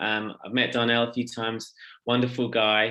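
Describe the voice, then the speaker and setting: A man with an English accent at a moderate pace. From England. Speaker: social enterprise founder and theologian. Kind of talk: workshop presentation. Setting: video call workshop.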